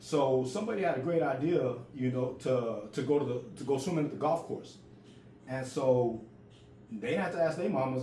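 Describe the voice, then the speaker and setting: Audible room echo follows a man speaking at a medium pitch with ordinary pitch variation. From US projects, Mexican-American. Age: 40s. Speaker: storyteller. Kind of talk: casual storytelling. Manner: repetitive, halting restarts.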